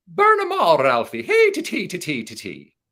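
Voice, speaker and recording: In a put-on character voice with an Irish accent, a man talks at a moderate pace. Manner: gleeful, urging.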